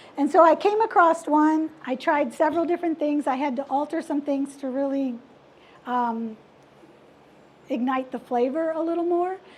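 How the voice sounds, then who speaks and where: Moderate pace with long, frequent pauses, plus noticeable background noise. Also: woman, high pitch for a woman, ordinary pitch variation. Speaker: cooking class presenter. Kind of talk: cooking demonstration.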